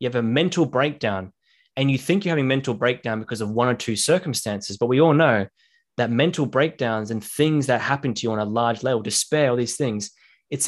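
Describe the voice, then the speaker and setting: Fairly quick male speech at medium pitch with ordinary pitch variation on a very clean recording with a silent background. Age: 20s. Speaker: podcast host and social media creator. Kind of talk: casual interview chat. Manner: fast-paced.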